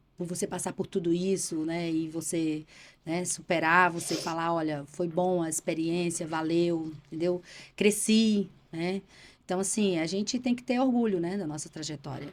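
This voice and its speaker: A woman talks in a plain, everyday voice with fairly low pitch and ordinary pitch variation. The recording is very clean, with a silent background. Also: moderate pace. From Bahia, Brazil (Irecê). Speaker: politician and journalist. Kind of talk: casual interview.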